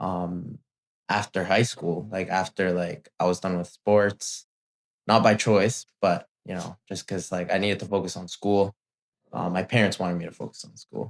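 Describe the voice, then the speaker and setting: A man with a Spanish accent speaks at a moderate pace in a very deep, low pitch and a monotone, flat delivery, on a very clean recording with a silent background and a dry, close sound with no echo. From Mexico City, moved to Ontario, Canada at 11-12. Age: 20s. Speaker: gym employee interviewee. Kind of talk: casual interview. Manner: hesitant, many fillers.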